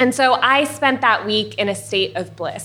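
A woman with an American accent speaks in a bright, sharp tone. Her pace is moderate and her pitch variation ordinary. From US, Iranian family. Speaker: molecular biologist. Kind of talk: live storytelling. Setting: stage with audience.

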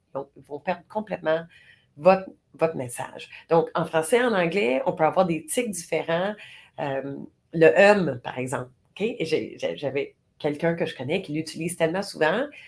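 A woman with a fairly low pitch speaks at a moderate pace with lively intonation. Her speech has long, frequent pauses. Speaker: podcast co-host. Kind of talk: casual chat. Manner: voice carries when passionate.

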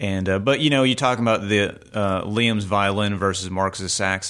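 An unremarkable speaking voice with an American accent and fairly even intonation. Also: man. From Virginia (Richmond), US. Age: 40s. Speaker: musician and music school director. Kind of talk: casual interview chat.

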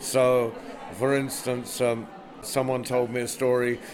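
Music plays in the background while a man talks at a medium pitch. Audible room echo colors the recording. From England. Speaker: storyteller and festival director. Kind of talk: interview.

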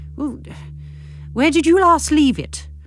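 Faint music plays in the background. The speaker uses a put-on character voice with a high pitch. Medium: read story. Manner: vague, absent-minded.

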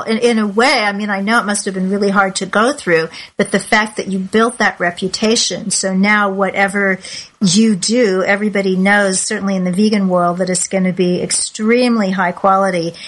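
Speaking at a moderate pace, this woman has an unremarkable speaking voice pitched in the medium range. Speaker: podcast host. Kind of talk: interview. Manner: warm, chatty.

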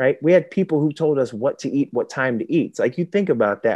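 A man with a dark, mellow tone and lively intonation is recorded dry and close, with no echo and a quiet background. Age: 30s. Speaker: former pro football player. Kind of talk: interview.

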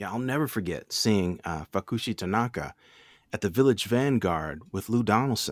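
A man with a normal speaking voice talks at a moderate pace, his fairly low pitch showing ordinary variation and his loudness swinging widely. The sound is dry and close with no echo, on a very clean recording with a silent background. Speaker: radio host. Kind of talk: conversational podcast co-hosting.

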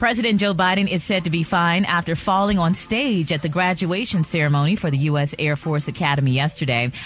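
With hardly any pauses, a woman with a fairly low pitch talks at a fairly quick pace, her intonation lively and her loudness very even, over noticeable background noise. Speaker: radio news reader. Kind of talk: news reading. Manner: clear, formal.

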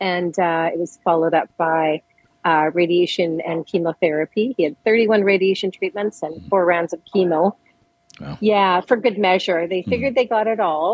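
A woman with a plain, everyday voice and a Canadian accent speaks at a fairly low pitch and moderate pace with ordinary pitch variation. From Edmonton, Alberta. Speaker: bereaved parent, charity volunteer. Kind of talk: interview, personal testimony.

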